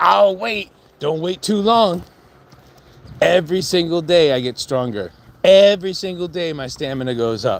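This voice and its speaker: Lively intonation marks this man's high-pitched voice. He keeps a moderate pace with long, frequent pauses. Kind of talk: casual talk to camera, trash-talk promo. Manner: confrontational, rambling.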